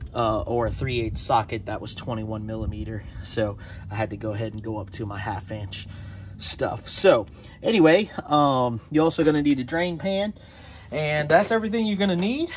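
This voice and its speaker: A somewhat breathy male voice over light background noise. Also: moderate pace. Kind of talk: tutorial. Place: garage. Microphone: phone near.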